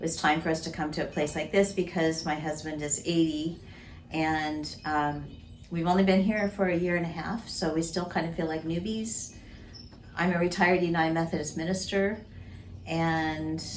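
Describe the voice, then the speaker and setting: Audible room echo surrounds a woman speaking at a moderate pace. Her pitch is fairly low and her intonation fairly even. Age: 60s. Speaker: retired minister. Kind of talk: interview.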